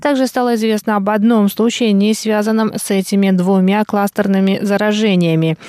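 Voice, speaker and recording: At a moderate pace, a woman with a dark, mellow tone and medium pitch speaks with fairly even intonation. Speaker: radio news presenter. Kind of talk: news reading. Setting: studio. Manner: formal.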